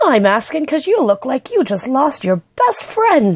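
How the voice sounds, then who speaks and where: The speaker uses a put-on character voice at a moderate pace, the pitch swinging very widely. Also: woman, high pitch for a woman. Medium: read story. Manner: energetic, exuberant.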